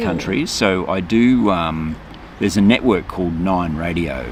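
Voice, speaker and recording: Noticeable background noise surrounds a man with a very deep, low pitch. He speaks fairly slowly, with ordinary pitch variation. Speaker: voice artist. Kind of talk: interview answer. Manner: casual, slightly nervous.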